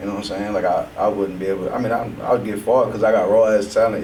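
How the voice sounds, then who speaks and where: Amid audible room echo and noticeable background noise, a man with an American accent rattles along at a very fast pace in a fairly low, monotone, flat voice. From south side of Houston, Texas. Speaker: rapper. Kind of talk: casual interview.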